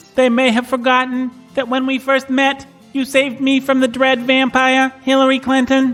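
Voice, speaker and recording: Someone uses a put-on character voice at a moderate pace. Faint music plays in the background. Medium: audio drama. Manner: flat, literal, says "bleep bloop"; deadpan robotic, overly formal.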